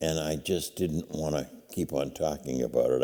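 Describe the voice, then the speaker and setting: With an American accent, a man speaks at a fairly quick pace in a very deep, low pitch, with a dark, mellow tone and vocal fry. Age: 70s. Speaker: nonprofit founder. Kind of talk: interview.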